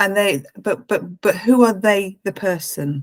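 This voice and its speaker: A woman with an English accent, medium pitch and ordinary pitch variation, at a moderate pace. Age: 60s. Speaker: life coach. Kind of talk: casual chat. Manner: halting.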